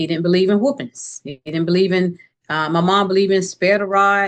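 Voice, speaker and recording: A woman with an American accent talks at a fairly quick pace in an ordinary speaking voice, medium in pitch with ordinary pitch variation. The sound is dry and close, with no echo. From US South, Tallahassee, Florida. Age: 60s. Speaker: entrepreneur and author. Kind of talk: interview conversation.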